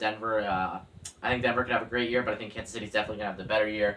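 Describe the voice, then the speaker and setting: This man's very fast speech comes with noticeable background noise. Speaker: football YouTuber. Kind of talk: casual sports predictions monologue. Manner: hesitant, many fillers.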